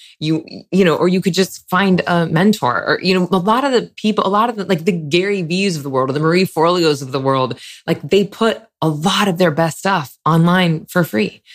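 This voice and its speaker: The speaker moves at a fairly quick pace. Intonation is lively throughout. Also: woman. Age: 40s. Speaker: meditation teacher and author, former actress. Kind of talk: interview conversation.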